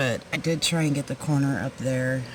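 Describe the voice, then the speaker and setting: Soft-spoken words come at a moderate pace against noticeable background noise. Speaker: full-time RV living vlogger. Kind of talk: casual vlog narration. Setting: outdoors at night beside RV. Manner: quiet, speaking softly.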